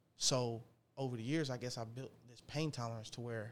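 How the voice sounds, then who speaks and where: A normal speaking voice from a man, fairly quick in pace, with fairly even intonation. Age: 20s. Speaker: car dealer and rapper. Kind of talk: casual chat.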